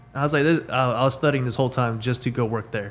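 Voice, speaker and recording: This man speaks with a Texan accent at medium pitch. His intonation stays fairly even. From Texas (Weatherford). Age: 20s. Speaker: mechanical engineer. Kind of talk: casual chat.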